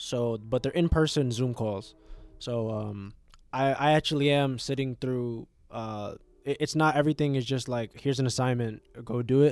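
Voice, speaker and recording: A man talks at a moderate pace and medium pitch. The recording is very clean, with a silent background. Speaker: podcast host and college student. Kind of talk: casual chat. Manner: animated.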